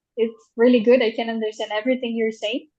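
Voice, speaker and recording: Fairly high in pitch, a woman speaks with a Portuguese accent. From Brazil. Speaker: translator. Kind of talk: interview. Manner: halting.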